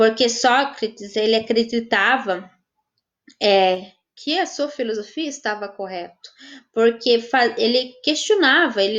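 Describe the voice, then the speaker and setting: A woman speaks very slowly with a fairly high voice and lively intonation. She leaves long, frequent pauses. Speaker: volunteer teacher. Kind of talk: online class Q&A. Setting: live stream. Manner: halting.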